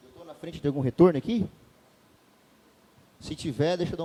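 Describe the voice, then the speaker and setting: The sound is dry and close with no echo as a man speaks in a dark, mellow tone. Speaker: pastor. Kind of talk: sermon. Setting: church. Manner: fast; loud.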